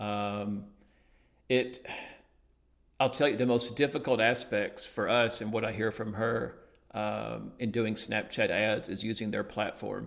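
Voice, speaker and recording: A man's medium-pitched voice with an Alabama accent and vocal fry, at a fairly slow pace with long, frequent pauses and monotone, flat intonation. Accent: Southern US Alabama. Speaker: digital marketing agency owner. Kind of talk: interview. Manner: hesitant, many fillers.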